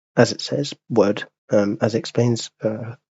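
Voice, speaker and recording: A man is speaking. His voice is somewhat breathy. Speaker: airline pilot and aviation youtuber. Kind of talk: tutorial. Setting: screen recording. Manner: hesitant, many fillers.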